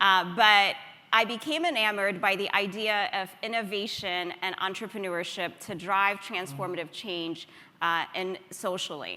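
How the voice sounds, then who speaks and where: In an American accent, the speaker talks at a fairly slow pace with a bright, sharp tone and ordinary pitch variation, and room echo is audible. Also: woman, medium pitch for a woman. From Ethiopia. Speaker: nonprofit founder and CEO. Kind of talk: conference talk.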